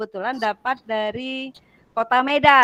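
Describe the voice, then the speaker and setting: A woman speaks in a high voice with a bright, sharp tone. Her pitch varies in an ordinary way, and the sound is dry and close with no echo. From Sumatra, Bengkulu. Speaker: teacher trainer. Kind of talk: online class introduction. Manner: loud, blunt; hesitant, many fillers.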